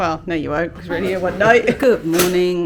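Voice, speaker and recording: A woman with a British accent, medium in pitch, with fairly even intonation over noticeable background noise. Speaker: family travel vlogger. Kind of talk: vlog room tour. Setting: hotel room. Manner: casual, hesitant fillers; speaking quietly.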